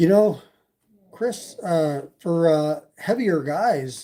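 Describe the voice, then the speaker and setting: A man with a slight Canadian accent speaks in a high pitch, his tone dark and mellow and his intonation lively. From Canada, Toronto. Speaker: e-bike YouTuber. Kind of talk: casual livestream chat. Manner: hesitant, many fillers.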